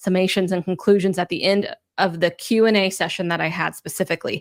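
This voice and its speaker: A woman with an American accent talks at a very fast pace in a medium-pitched voice with fairly even intonation, in a very clean recording with a silent background. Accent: Southern twang, stronger lately. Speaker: podcast host, EV reporter. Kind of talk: podcast intro monologue.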